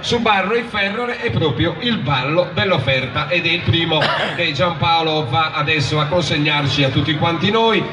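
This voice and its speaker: Noticeable background noise sits behind a man. He talks at a moderate pace. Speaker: presenter. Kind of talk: stage announcement explaining a folk dance. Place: stage.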